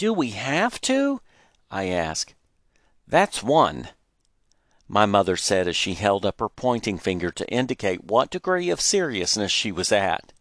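A man with an American accent talks in an ordinary speaking voice, fairly low-pitched, at a fairly slow pace. His intonation is lively, and the sound is dry and close with no echo. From Texas. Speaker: audiobook narrator reading own memoir. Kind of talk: literary audiobook reading, memoir narration with character dialogue. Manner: measured storyteller pace, nostalgic and warm.

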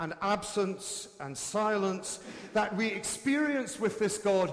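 Noticeable background noise accompanies a man speaking in a high voice. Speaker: preacher. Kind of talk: sermon. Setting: church.

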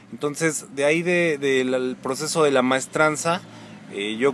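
A man with a plain, everyday voice talks at a fairly slow pace, using ordinary pitch variation. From Mexico, Pachuca (Hidalgo). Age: 30s. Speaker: social psychologist. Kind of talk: interview conversation.

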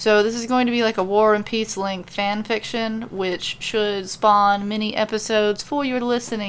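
Plain reading aloud, its intonation fairly even

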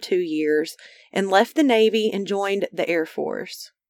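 With lively intonation and an Arkansas accent, a woman speaks at a fairly slow pace in a very clean recording with a silent background. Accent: Southern US (Arkansas). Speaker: true crime podcast host. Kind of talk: true crime narration.

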